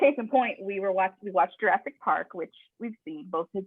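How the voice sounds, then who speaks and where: An animated tone marks the woman's speech. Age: 30s. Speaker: podcast host. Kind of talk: casual chat.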